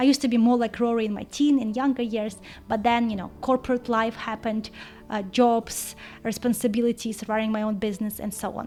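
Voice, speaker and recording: Music plays behind a woman who speaks fairly quickly with a non-native accent. Her fairly high voice stays monotone, with flat intonation. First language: not English. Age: 30s. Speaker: book vlogger. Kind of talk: casual vlog.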